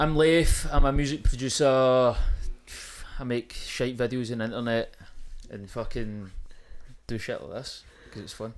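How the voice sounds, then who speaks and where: In a Glaswegian accent, a man with a medium-pitched voice talks at a moderate pace, with ordinary pitch variation, big swings in loudness and long, frequent pauses. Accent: Glaswegian Scottish. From Scotland, East Kilbride near Glasgow. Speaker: music producer and social media creator. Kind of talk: casual chat. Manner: animated.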